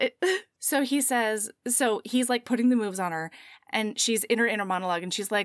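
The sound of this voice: This is an unforced reading voice with ordinary pitch variation. Behind it, the background is quiet.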